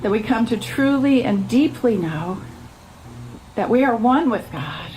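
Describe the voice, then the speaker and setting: Despite noticeable background noise, a woman can be heard speaking at a fairly high pitch and moderate pace with ordinary pitch variation. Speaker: minister, church speaker. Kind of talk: sermon / spiritual message to a congregation. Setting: outdoor church service.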